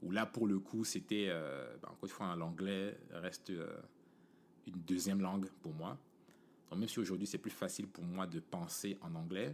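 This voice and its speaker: The speech moves at a moderate pace with ordinary pitch variation and long, frequent pauses. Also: man. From Cameroon, Yaoundé. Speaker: podcast host. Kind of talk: casual monologue. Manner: casual, many fillers.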